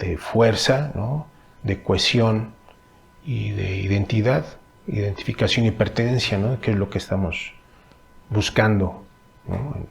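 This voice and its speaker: At a very slow pace broken by long, frequent pauses, a man speaks in a fairly low pitch with ordinary pitch variation. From Mexico, Temixco (Morelos). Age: 40s. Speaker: stage artist and cultural manager. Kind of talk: interview answers. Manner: halting, many fillers.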